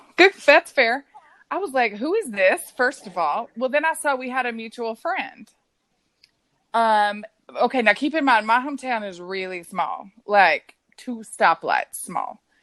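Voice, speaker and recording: A woman with a Texan accent talks at a fairly slow pace and a high pitch, her pitch swinging very widely. The sound is dry and close with no echo, and the background is quiet. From West Texas. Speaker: podcast guest. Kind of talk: casual chat. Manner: animated.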